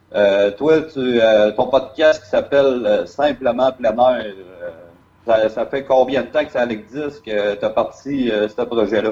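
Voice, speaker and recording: A man's medium-pitched voice at a very slow pace. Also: ordinary pitch variation. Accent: Quebec. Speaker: podcast host. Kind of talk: interview. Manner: halting.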